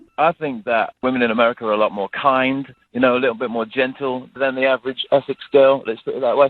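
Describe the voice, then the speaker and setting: With a British accent, a man talks very fast in a monotone, flat delivery with hardly any pauses. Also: medium pitch for a man. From England, Coventry. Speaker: caller. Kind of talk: phone-in chat. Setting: phone call. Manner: halting.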